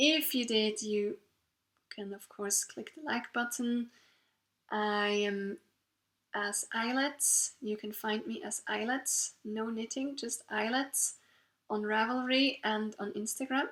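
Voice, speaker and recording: Speaking very slowly with a Swiss German accent, a woman uses a fairly high pitch and ordinary pitch variation. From Switzerland. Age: 30s. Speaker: knitting podcaster. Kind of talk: casual monologue. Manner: halting.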